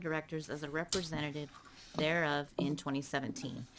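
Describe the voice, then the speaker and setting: A woman at a fairly quick pace. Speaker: board chair. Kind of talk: reading aloud. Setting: public board meeting in chamber. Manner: fast.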